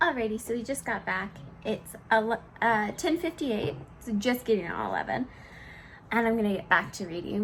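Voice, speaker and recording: Here a woman talks at a fairly quick pace with vocal fry. Her pitch is fairly high. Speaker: book vlogger. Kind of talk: casual vlog narration. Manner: upbeat, chatty.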